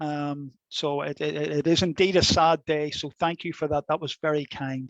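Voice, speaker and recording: Against a quiet background, a man with a Belfast accent and a fairly high pitch speaks at a moderate pace in a monotone, flat intonation, the sound dry and close with no echo. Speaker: law academic. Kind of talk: lecture. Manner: hesitant, many fillers and repetitions.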